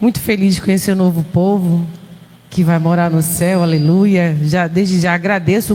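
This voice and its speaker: A woman with a Pernambuco accent speaks at a fairly low pitch. Her pace is fairly slow and her intonation fairly even. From Pernambuco, northeastern Brazil. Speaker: visiting preacher, missionary. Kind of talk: sermon. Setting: church.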